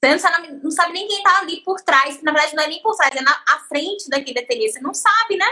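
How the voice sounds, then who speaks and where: A raised, projected voice, very fast, with lively intonation and a bright, sharp tone. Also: woman, extremely high pitch for a woman. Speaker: podcast host and artisan teacher. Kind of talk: casual interview chat.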